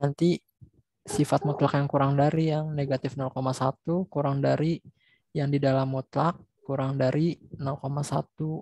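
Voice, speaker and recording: Speaking very slowly with long, frequent pauses, a man with a fairly high pitch and a dark, mellow tone sounds somewhat breathy, his intonation monotone and flat, on a dry recording with no echo. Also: quiet background. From Indonesia. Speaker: student; student tutor. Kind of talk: classroom question. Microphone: video call.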